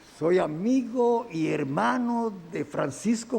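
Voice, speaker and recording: A man talks at a high pitch while noticeable background noise plays behind him. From Dominican Republic, Santiago. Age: 70s. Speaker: engineer defending himself in court. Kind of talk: court testimony. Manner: halting, with self-corrections.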